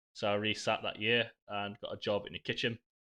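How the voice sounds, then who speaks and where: A man with a Yorkshire accent speaks at a fairly quick pace. His tone is bright and sharp, and the background is quiet. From northern England, Sheffield. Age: 20s. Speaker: live streamer, pub manager. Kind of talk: casual live stream chat. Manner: casual, sweary.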